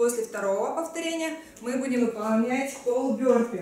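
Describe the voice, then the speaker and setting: A high-pitched woman at a moderate pace, with audible room echo and light background noise. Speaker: fitness trainer. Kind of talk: workout instruction. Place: home room.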